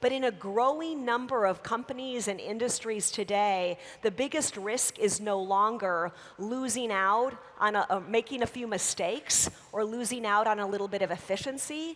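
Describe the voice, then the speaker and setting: Speaking with an American accent at a moderate pace, a woman with a normal speaking voice sits fairly high in pitch, with ordinary pitch variation. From United States. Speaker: business school professor. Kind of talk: keynote lecture.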